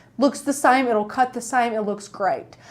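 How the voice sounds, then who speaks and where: A woman with an East Tennessee accent speaks with ordinary pitch variation. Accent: East Tennessee Southern. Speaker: crafting YouTuber. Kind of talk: live-stream tutorial. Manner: animated; casual.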